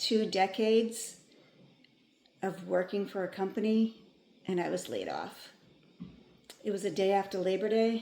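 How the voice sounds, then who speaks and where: Woman at medium pitch, flat and monotone, fairly slow with long, frequent pauses. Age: 50s. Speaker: former office worker turned life coach for women. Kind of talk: personal story told to camera.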